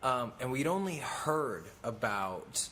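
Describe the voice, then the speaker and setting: A man talks with an American accent. Music plays in the background. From Oklahoma. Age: 20s. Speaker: clothing brand owner and former reality TV actor. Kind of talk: podcast interview. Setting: clothing factory. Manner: hesitant with many fillers.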